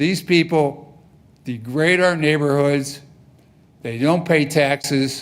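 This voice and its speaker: A man with a fairly high pitch and fairly even intonation, very slow and full of long, frequent pauses. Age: 70s. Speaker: resident speaking at public comment. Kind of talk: public comment at council meeting. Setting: city council meeting. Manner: emphatic.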